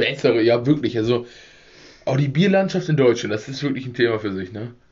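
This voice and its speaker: A man with a somewhat breathy voice speaks using lively intonation. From rural Germany. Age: 20s. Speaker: podcast host. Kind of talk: casual chat. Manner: laughing.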